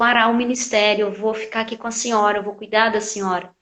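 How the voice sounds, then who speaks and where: Monotone, flat intonation at a fairly quick pace. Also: woman. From Brasília, Brazil (born in Piauí). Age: 50s. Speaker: church minister and church planter. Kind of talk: interview testimony. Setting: online live stream.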